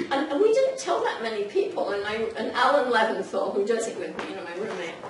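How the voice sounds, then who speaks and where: A woman speaks at a high pitch with audible room echo. Noticeable background noise runs underneath. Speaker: presenter, pastoral counselor. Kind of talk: informal talk to audience. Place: meeting room. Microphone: camera far.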